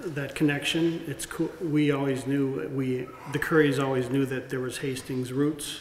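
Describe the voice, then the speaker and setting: Monotone and flat, a man talks at a fairly high pitch. Light background noise and audible room echo are present. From US Midwest. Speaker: community speaker; speaker. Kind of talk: public speaking. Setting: stage with audience. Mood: warm, grateful, personal. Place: hall. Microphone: podium.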